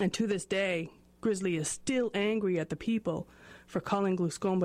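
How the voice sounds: This is a natural reading voice. It is used throughout.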